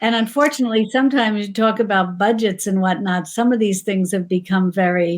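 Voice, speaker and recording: A woman with an American accent speaks in a plain, everyday voice of medium pitch, moving at a fairly quick pace with hardly any pauses. Her loudness is very even, her pitch variation ordinary, and the recording very clean with a silent background. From New York. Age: 60s. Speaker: cooking channel creator. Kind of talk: casual interview chat.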